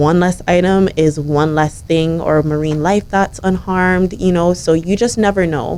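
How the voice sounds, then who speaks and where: With an ordinary speaking voice, a woman talks at a moderate pace and fairly low pitch, keeping her intonation fairly even, her loudness very even and her pauses few to none. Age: young. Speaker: young environmental advocate and government intern. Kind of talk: radio interview.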